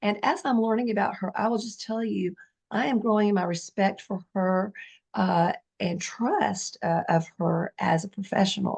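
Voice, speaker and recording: A somewhat breathy woman at a moderate pace, medium in pitch, with ordinary pitch variation. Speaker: real estate agent. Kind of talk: interview introduction.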